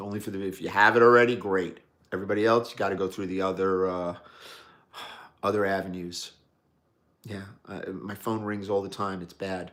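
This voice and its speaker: A man with a New York accent and a fairly low pitch talks at a fairly quick pace in a monotone, flat way, with long, frequent pauses and big swings in loudness, in a very clean recording with a silent background. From New York City, Brooklyn. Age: 60s. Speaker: watch enthusiast livestreamer. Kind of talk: live stream chat reading viewer comments. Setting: live stream. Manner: casual, conversational.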